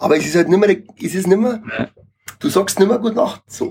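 With a Bavarian accent, a man talks fairly quickly at a high pitch. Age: 30s. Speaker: reggae musician. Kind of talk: casual chat.

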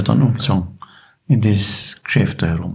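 Vocal fry runs through the voice, which carries audible room echo. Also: man. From Bavaria, Wartenberg (Upper Bavaria). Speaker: retired local shopkeeper and choir chairman. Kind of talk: casual chat.

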